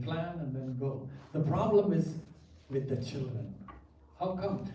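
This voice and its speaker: With noticeable background noise and audible room echo, a man talks at a fairly slow pace and with ordinary pitch variation. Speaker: pastor. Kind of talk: seminar lecture. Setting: church with audience.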